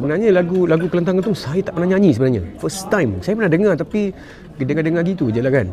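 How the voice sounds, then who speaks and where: Talking at a very fast pace, a man with a high pitch is heard over noticeable background noise. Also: lively intonation. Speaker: singer, talent show contestant. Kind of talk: interview. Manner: halting.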